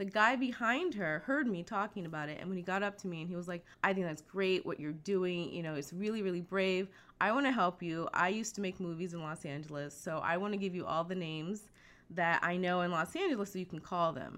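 An ordinary speaking voice from a woman with an American accent, medium pitch and ordinary pitch variation, at a fairly quick pace on a very clean recording with a silent background. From US East Coast, Virginia Beach, Virginia. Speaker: animation studio recruiting coordinator. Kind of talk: interview.

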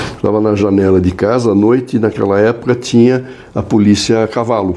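At a moderate pace, the speaker talks while noticeable background noise is heard. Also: man. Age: 70s. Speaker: advertising executive. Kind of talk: casual interview.

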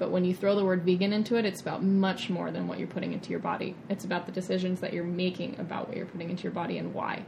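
A woman talks very fast at a medium pitch, barely pausing at all. Noticeable background noise runs behind her. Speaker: vegan chef and nutrition coach. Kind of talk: interview. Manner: animated.

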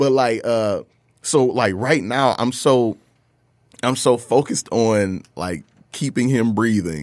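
Speaking at a very slow pace, a man with an American accent is heard in a very clean recording with a silent background. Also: medium pitch for a man, ordinary pitch variation. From Detroit, Michigan. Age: 30s. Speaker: hip hop artist. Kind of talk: casual chat.

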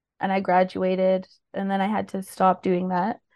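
A woman with a Canadian accent, a plain, everyday voice at medium pitch and a moderate pace over a quiet background. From Ontario, Peel region (Mississauga, Brampton). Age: 30s. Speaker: drug user advocate. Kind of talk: interview testimony.

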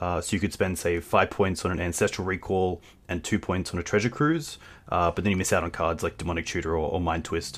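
In an Australian accent, a man with a very deep, low pitch talks at a fairly quick pace with ordinary pitch variation. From Australia, Queensland. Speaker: game streamer. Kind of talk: casual chat. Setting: video call.

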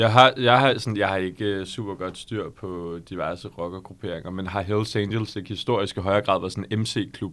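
A man with a plain, everyday voice talks at a moderate pace with hardly any pauses. His pitch is fairly low and his intonation fairly even. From Copenhagen, Denmark. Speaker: law podcast co-host. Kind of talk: casual chat.

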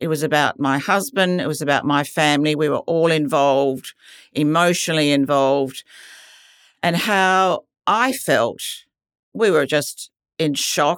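A woman with an Australian accent, a very deep, low pitch, ordinary pitch variation, very even loudness, a fairly slow pace and long, frequent pauses. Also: very clean recording, silent background. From Western Australia. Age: 70s. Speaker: cancer patient. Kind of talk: testimony.

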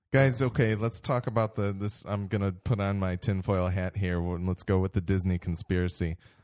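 A man talks in a plain, everyday voice at a fairly quick pace with hardly any pauses, a fairly low pitch and fairly even intonation. The recording is very clean with a silent background, and the sound is dry and close with no echo. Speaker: podcast host. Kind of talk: casual chat about films, podcast review.

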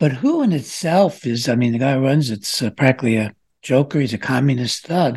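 A man with a somewhat breathy, medium-pitched voice moves at a fairly quick pace, his pitch varying in an ordinary way. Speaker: radio show host and psychiatrist. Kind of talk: interview. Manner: halting.

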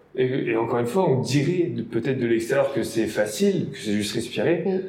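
Against noticeable background noise and audible room echo, a man at medium pitch talks at a moderate pace with lively intonation. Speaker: blogger and podcast host, lifeguard. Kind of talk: interview; scripted podcast intro. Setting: room with a lot of echo.

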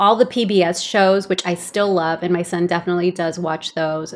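Against a quiet background, a woman of medium pitch speaks at a moderate pace in a monotone, flat intonation. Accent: Californian. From El Salvador, raised in Los Angeles. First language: Spanish. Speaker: podcast co-host, stay-at-home mom and writer. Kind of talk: casual chat.

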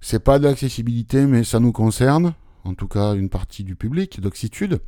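A man's medium-pitched, dark, mellow voice at a fairly slow pace on a very clean recording with a silent background. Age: 50s. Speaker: tech and accessibility podcast host, blind. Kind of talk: casual chat.

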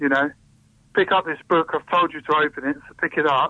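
Fairly high male voice, its pitch varying in an ordinary way. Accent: English. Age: 30s. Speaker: poet. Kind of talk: interview. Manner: hesitant.

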